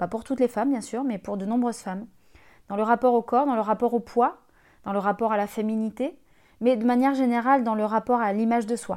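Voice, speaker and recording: In an unremarkable speaking voice, a woman talks at a fairly high pitch and fairly quick pace with fairly even intonation, in a very clean recording with a silent background. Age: 30s. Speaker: life coach and podcast host. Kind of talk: scripted podcast monologue.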